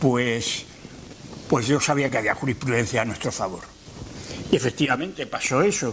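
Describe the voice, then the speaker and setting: A man at medium pitch, moderate pace and ordinary pitch variation, with long, frequent pauses and noticeable background noise. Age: 70s. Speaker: retired university rector. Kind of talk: lecture. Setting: lecture hall with audience. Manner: halting.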